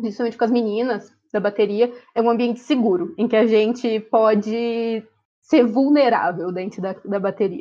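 Her fairly high voice shows ordinary pitch variation. The woman speaks at a fairly slow pace. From Ourinhos, São Paulo state, Brazil. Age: 20s. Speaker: dental student and university drummer. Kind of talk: casual interview. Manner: talkative.

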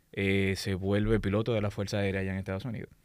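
In a Dominican accent, a man speaks at a very fast pace with a fairly low pitch, on a very clean recording with a silent background. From Dominican Republic, raised in Santo Domingo. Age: 40s. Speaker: aerospace engineer and lecturer. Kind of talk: casual interview.

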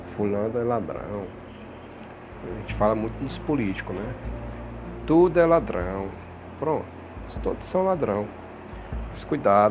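With music in the background and audible room echo, a man speaks at a fairly slow pace, with long, frequent pauses and big swings in loudness. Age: 40s. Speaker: religious podcast host. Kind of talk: religious monologue. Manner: halting, many fillers.

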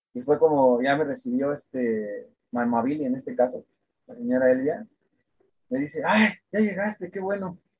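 Pausing long and often, a man talks at a moderate pace in a fairly high voice, with very wide pitch swings and big swings in loudness. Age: 20s. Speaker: guitarist. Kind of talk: casual interview chat.

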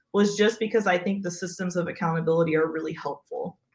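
A woman with an American accent talks at a fairly quick pace in a fairly low, somewhat breathy voice. Her intonation stays fairly even. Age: 30s. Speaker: pastor. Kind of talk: casual interview conversation.

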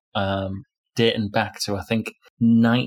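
A man with a northern English accent speaks at a fairly slow pace in a monotone, flat intonation. The recording is very clean, with a silent background. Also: dry, close sound with no echo. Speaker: podcast co-host. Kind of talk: casual chat.

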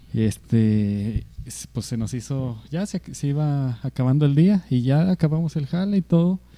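A man with a dark, mellow tone talks with lively intonation. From Mexico. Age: 20s. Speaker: podcast co-host. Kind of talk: casual chat.

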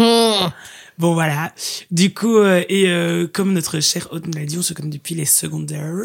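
This woman has a plain, everyday voice, fairly low in pitch with ordinary pitch variation. She speaks at a fairly slow pace. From Belgium, Liège. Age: 20s. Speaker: student. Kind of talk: casual chat.

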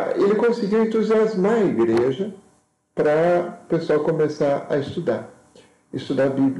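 A man speaks with a dark, mellow tone at a fairly slow pace. Room echo is audible. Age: 50s. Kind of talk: lecture. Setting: live video stream. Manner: halting.

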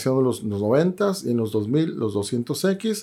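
On a very clean recording with a silent background, a man with medium pitch and lively intonation has an unremarkable speaking voice. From Sonora, Mexico (Guaymas). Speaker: action figure collector and teacher. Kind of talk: casual chat.

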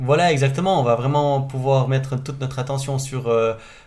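A man speaking at a fairly quick pace, medium pitch, in monotone, flat intonation. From French-speaking Switzerland, Gruyère. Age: 30s. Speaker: race organizer. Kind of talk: interview.

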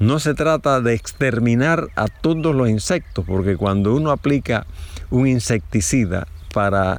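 In an ordinary speaking voice, a man talks at a fairly slow pace with lively intonation. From Chiriquí, Panama. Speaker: fruit farmer. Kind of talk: interview.

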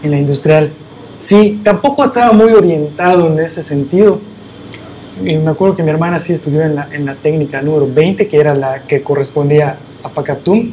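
A man with a fairly high voice keeps a moderate pace and ordinary pitch variation while noticeable background noise plays. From Yucatán, Mexico (Mérida area). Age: 40s. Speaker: radio producer. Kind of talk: casual chat. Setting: studio.

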